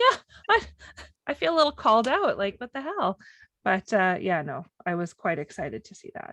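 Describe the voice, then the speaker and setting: A woman speaks at a moderate pace with long, frequent pauses and big swings in loudness. The sound is dry and close, with no echo. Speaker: podcast co-host. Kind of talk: casual chat. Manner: animated.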